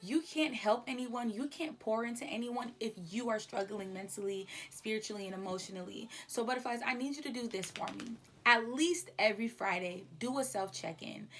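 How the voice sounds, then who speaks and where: Noticeable background noise is present. Pitch variation in the speech is ordinary. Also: woman, fairly high pitch for a woman. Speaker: podcast host. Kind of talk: casual monologue. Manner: fast; animated.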